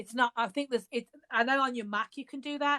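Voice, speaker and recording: A woman with a Birmingham accent, fairly high in pitch with fairly even intonation, at a moderate pace, in a dry, close sound with no echo and a very clean recording over a silent background. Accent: Birmingham (Brummie). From England, Birmingham. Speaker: author. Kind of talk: casual chat. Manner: halting.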